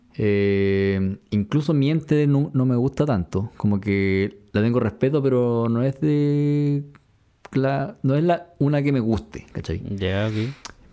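A man with a Chilean accent speaks at a very slow pace. His medium-pitched voice has a dark, mellow tone. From Chile, Concepción. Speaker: podcast co-host, music reviewer. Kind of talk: casual chat.

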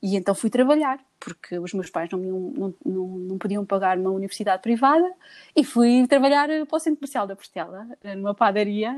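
In an unremarkable speaking voice, a woman talks at a medium pitch and moderate pace with lively intonation, the sound dry and close with no echo. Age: 40s. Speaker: businesswoman. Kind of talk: casual chat.

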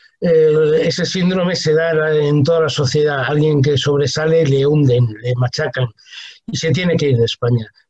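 A man's fairly high, somewhat breathy voice holds very even loudness, fairly even intonation and a moderate pace. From Spain, Talavera de la Reina (Toledo). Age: 60s. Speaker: humanitarian worker and writer. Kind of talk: interview.

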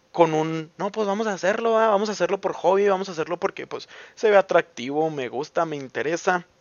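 Animated in tone, a man with a Mexican accent speaks at a moderate pace, his pitch high with ordinary variation. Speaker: podcaster. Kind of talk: casual monologue. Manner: talkative.

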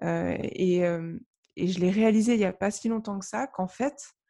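In a very clean recording with a silent background, a woman speaks at a very slow pace with a dark, mellow tone and fairly even intonation. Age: 30s. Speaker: novelist and blogger. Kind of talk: casual interview chat. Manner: halting, many fillers and repetitions.

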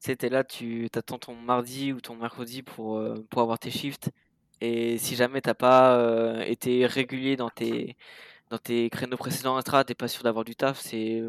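A man talks at a fairly slow pace in a medium-pitched, monotone, flat delivery with big swings in loudness. The sound is dry and close with no echo, on a very clean recording with a silent background. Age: 20s. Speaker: bicycle courier and dispatcher. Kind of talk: casual interview.

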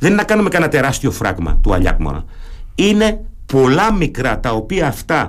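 Using very wide pitch swings and vocal fry, a man with a German accent speaks at a moderate pace. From Germany. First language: German (speaking Greek). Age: 50s. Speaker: retired naval officer, local election candidate. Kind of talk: radio interview.

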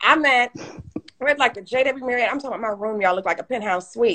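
The speaker uses lively intonation with an American accent. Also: woman. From Detroit, Michigan. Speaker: entrepreneur and author. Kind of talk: casual interview on live stream. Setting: video live stream. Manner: animated.

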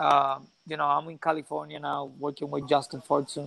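A man with a Puerto Rican accent and a fairly high pitch. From Puerto Rico. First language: Spanish. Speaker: professional boxer. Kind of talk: interview. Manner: halting, with many repeated words.

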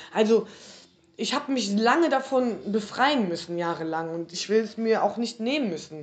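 A plain, everyday voice at a moderate pace with lively intonation. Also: woman, fairly high pitch for a woman. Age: 40s. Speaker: podcast host. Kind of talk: casual chat.

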